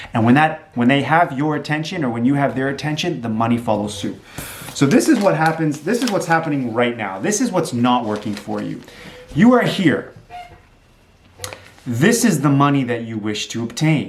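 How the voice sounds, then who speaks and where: Over noticeable background noise and audible room echo, a man with a fairly high pitch speaks in an animated tone with very wide pitch swings. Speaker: entrepreneur and realtor vlogger. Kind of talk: motivational talk to camera. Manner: fast.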